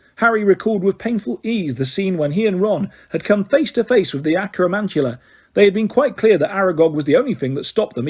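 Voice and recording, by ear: Lively intonation fills the speaker's reading aloud in a natural voice.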